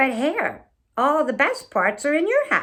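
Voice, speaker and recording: At a moderate pace, the speaker uses a put-on character voice that is high-pitched, raised and projected. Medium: read story. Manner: slow, grumbling.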